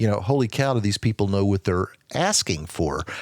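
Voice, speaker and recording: On a very clean recording with a silent background, a man speaks very fast at a fairly low pitch with ordinary pitch variation. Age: 60s. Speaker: podcast host. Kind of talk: interview. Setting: podcast interview.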